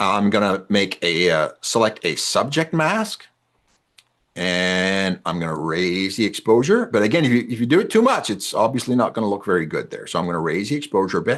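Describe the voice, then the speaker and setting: A man with a fairly low pitch talks at a fairly quick pace with lively intonation against a quiet background. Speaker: wildlife photographer and photography teacher. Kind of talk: online presentation tutorial. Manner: fast.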